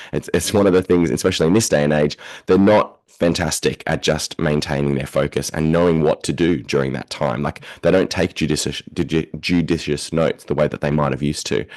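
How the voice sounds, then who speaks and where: In an Australian accent, a man with a very deep, low voice and vocal fry talks at a fairly quick pace with ordinary pitch variation, the sound dry and close with no echo. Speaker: education researcher and university lecturer. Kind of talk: podcast interview. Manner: fast.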